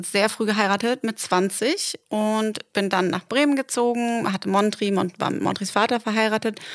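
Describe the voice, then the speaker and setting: An unremarkable speaking voice talks at a fairly slow pace with ordinary pitch variation, in a dry, close sound with no echo on a very clean recording with a silent background. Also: woman. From northern Germany, Delmenhorst. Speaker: podcast co-host. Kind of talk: casual chat. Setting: in bed at home.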